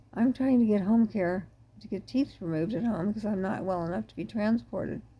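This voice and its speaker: At a fairly quick pace, a woman speaks in a medium-pitched, somewhat breathy, dark and mellow voice with ordinary pitch variation and big swings in loudness. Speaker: ME patient advocate. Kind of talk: monologue talk.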